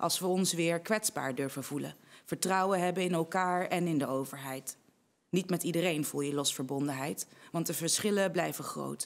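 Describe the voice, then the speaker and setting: Her pitch fairly low with ordinary variation, a woman talks at a moderate pace. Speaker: spoken word poet. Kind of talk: spoken word poetry performance. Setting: online congress recording. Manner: rhythmic, rhetorical, measured delivery; earnest, impassioned. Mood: earnest, measured, heartfelt. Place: studio. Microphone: studio mic.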